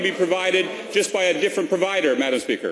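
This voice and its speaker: A man with a high-pitched voice talks while noticeable background noise plays behind him. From immigrant to Canada. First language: not English. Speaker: provincial cabinet minister. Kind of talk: parliamentary debate. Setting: legislature chamber. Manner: halting, many fillers.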